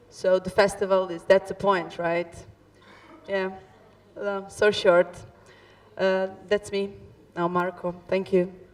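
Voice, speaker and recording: A woman speaks very slowly at a medium pitch, with flat, monotone intonation. Her long, frequent pauses sit over noticeable background noise. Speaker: actress. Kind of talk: post-show discussion. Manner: halting.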